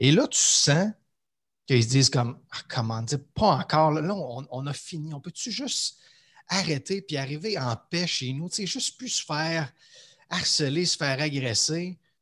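A man with a plain, everyday voice speaks at a fairly high pitch for a man. The background is quiet. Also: lively intonation, fairly slow pace. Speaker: leadership coach. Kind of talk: casual interview conversation.

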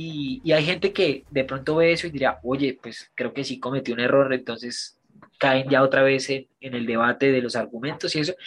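A man uses an ordinary speaking voice at medium pitch. He talks at a moderate pace with fairly even intonation. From Colombia, Bogotá. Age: 20s. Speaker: actor. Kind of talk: casual interview.

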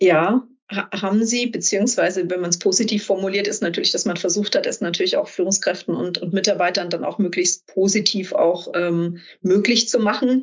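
A woman speaks at a moderate pace in an ordinary speaking voice. Her pitch sits in the medium range and varies in an ordinary way. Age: 40s. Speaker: executive coach and business angel. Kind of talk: interview.

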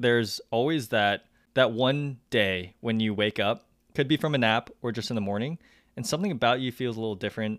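A man talks at a fairly quick pace in a medium pitch, using a plain, everyday voice. The recording is very clean, with a silent background. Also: ordinary pitch variation. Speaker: podcast co-host. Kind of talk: casual chat.

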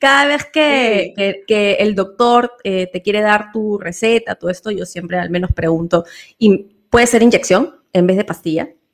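At a fairly slow pace, a woman talks in an unremarkable speaking voice of medium pitch, with ordinary pitch variation. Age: 40s. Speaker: podcast co-host. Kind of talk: casual chat.

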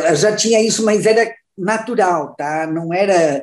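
Talking at a fairly slow pace, a woman has an ordinary speaking voice, a medium pitch, and ordinary pitch variation. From Santa Catarina, Brazil (Luiz Alves, near Blumenau). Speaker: businesswoman and board member. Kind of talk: interview.

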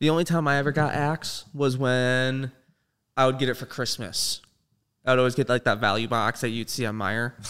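A man's unremarkable speaking voice in a General American accent, medium in pitch with fairly even intonation, in a very clean recording with a silent background. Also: moderate pace. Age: 20s. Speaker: streamer and filmmaker. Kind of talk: casual chat.

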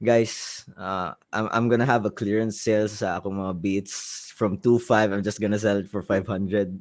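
In a very clean recording with a silent background, a man with a Visayan Filipino accent speaks at a fairly low pitch and a moderate pace, in monotone, flat intonation with hardly any pauses. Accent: Filipino (Cebuano) English. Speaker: musician and producer. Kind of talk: casual chat.

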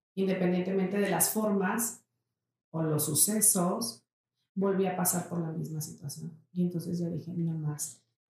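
This woman has a normal speaking voice with a fairly low pitch. She speaks at a fairly slow pace with ordinary pitch variation. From Mexico, Saltillo. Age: 40s. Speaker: entrepreneur. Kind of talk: interview.

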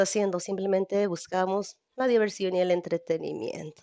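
A woman's voice at medium pitch. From Mexico, Jalisco. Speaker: convert sharing testimony. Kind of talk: personal testimony. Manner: halting.

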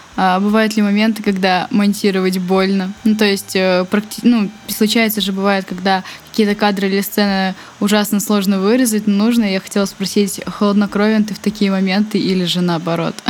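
Monotone, flat woman's voice at medium pitch and a moderate pace, with noticeable background noise. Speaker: podcast host. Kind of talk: interview. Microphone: laptop fan noise.

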